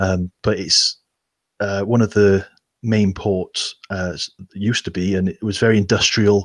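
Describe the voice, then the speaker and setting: In a very clean recording with a silent background and a dry, close sound with no echo, a man with a Welsh accent speaks fairly slowly at a fairly low pitch with monotone, flat intonation. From Wales, Newport. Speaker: Nerf hobbyist YouTuber. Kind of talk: casual chat. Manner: halting.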